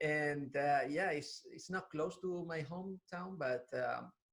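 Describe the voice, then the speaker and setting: A man speaks with a southern Spanish accent. His pitch is fairly high. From southern Spain. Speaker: interviewer. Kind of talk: interview. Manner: halting, repeats words.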